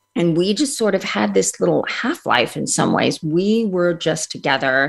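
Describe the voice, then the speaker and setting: A woman speaks at a fairly low pitch with vocal fry. Her intonation is lively. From India. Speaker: author and speaker. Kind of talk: interview.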